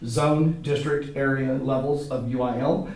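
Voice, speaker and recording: A man's medium-pitched voice with fairly even intonation comes through audible room echo and noticeable background noise. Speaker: high school theater teacher. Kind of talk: comedic interview. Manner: loud, projecting; formal.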